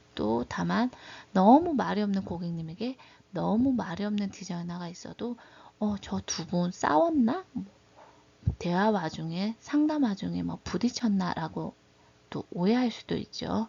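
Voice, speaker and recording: The delivery comes at a fairly slow pace. A strong Gyeongsang accent runs through it. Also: woman. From Daegu, South Korea. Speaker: beauty/hairdressing instructor. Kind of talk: lecture.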